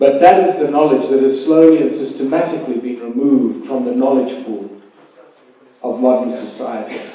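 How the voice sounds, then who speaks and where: The voice shows ordinary pitch variation. Audible room echo and noticeable background noise are present. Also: man, medium pitch for a man. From South Africa, Rustenburg. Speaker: conference keynote speaker. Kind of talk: conference lecture. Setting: conference hall with audience and live translation. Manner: slow, deliberate. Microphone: bad sound quality.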